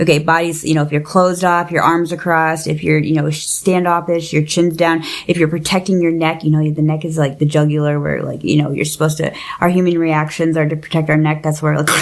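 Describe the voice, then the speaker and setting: A woman speaks very fast with hardly any pauses in a very deep, low voice, with noticeable background noise behind her. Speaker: podcast host. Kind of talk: casual chat. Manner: animated.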